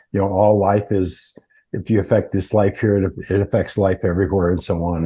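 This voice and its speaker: Against a quiet background, a man with an American accent speaks in a flat monotone, his fairly low voice somewhat breathy with a dark, mellow tone. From Montana, US. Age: 80s+. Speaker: earthing company founder. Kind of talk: interview. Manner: halting.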